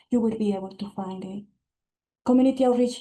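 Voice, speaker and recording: This woman has a fairly high pitch. Her voice is somewhat breathy. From immigrant to US. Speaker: city immigrant affairs official. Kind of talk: webinar presentation.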